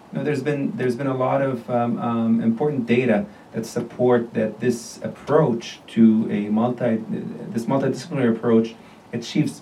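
A man at medium pitch and moderate pace, with noticeable background noise. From Jordan. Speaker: surgical oncologist. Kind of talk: interview, medical discussion. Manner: halting, many fillers.

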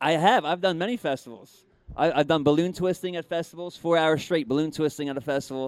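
A man speaks very fast at a fairly high pitch, with ordinary pitch variation. The recording is very clean, the background silent. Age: 30s. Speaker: ventriloquist and magician. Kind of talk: casual chat.

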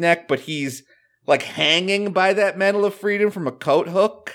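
The man speaks in an animated tone. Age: 30s. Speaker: podcast host. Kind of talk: casual chat.

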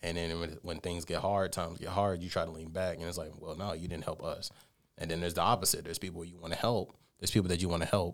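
On a very clean recording with a silent background, a man with an American accent speaks at a very fast pace in a very deep, low pitch with monotone, flat intonation. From Columbus, Georgia. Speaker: rapper and producer. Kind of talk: radio interview.

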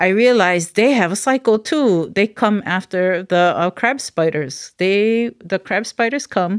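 In a very clean recording with a silent background, a woman speaks with a Hawaiian accent and ordinary pitch variation. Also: dry, close sound with no echo. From Hawaii, Maui. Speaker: cultural researcher and practitioner. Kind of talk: casual interview.

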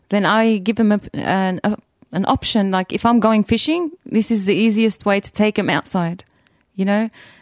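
A woman at medium pitch with an Australian accent, moderate pace and ordinary pitch variation, in a dry, close sound with no echo. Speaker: hunter. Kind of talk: interview.

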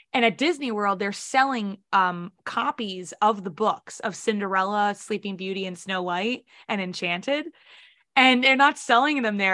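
A woman with an American accent, medium pitch, a bright, sharp and animated tone, and ordinary pitch variation, against a quiet background. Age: 20s. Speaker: singer and podcaster. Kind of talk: casual chat. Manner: animated, laughs often.

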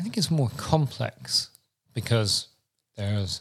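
This man's voice sits at a medium pitch. He talks at a moderate pace. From Britain. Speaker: podcast co-host. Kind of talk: casual chat.

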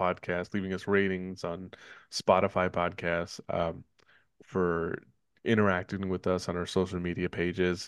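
The delivery stays monotone, with flat intonation. Nothing much can be heard behind it. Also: man. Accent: Northern California. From Richmond, California. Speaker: podcast host. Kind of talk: casual chat.

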